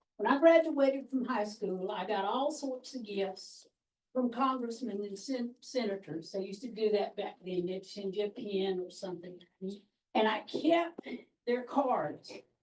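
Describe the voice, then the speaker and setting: A woman with a South Carolina accent speaks fairly slowly in a fairly high pitch with lively intonation. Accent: Southern US, upstate South Carolina. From upstate South Carolina, Anderson County. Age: 60s. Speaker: orientation participant. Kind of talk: self-introduction. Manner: folksy storytelling.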